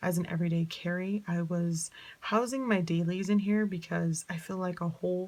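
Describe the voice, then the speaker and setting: A woman speaks at a moderate pace with a fairly low pitch. Her voice is somewhat breathy and her intonation fairly even. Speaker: planner vlogger. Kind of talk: casual tutorial vlog.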